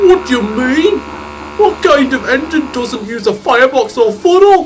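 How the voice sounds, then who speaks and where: The speaker uses a put-on character voice pitched high, at a moderate pace. Background noise is clearly audible. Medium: machinima. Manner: cheeky, mischievous.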